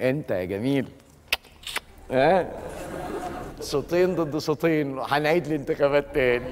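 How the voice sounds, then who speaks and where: A man speaks at a fairly slow pace with ordinary pitch variation over noticeable background noise. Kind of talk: comic acted dialogue. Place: stage. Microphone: lapel.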